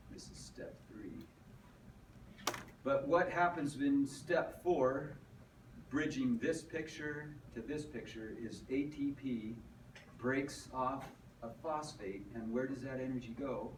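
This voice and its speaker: Speaking at a very slow pace with long, frequent pauses, a man in a fairly high pitch shows ordinary pitch variation and big swings in loudness amid audible room echo. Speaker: teacher. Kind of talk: lecture.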